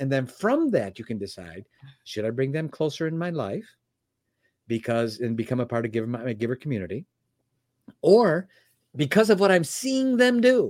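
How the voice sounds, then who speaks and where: Over a very clean recording with a silent background, a man at medium pitch speaks at a moderate pace, with very wide pitch swings and long, frequent pauses. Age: 60s. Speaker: personal development teacher and founder. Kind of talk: interview.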